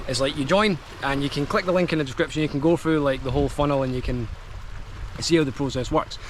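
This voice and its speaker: A man with a Scottish accent, fairly high pitch, ordinary pitch variation and a very fast pace, over noticeable background noise. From Scotland. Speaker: affiliate marketer, online business vlogger. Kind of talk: product review vlog. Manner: casual, filler-heavy.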